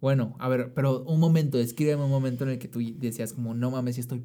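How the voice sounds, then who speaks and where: Fairly quick in pace, a man talks in a medium-pitched voice with a dark, mellow tone. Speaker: podcast co-host. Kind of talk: casual chat. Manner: excitable.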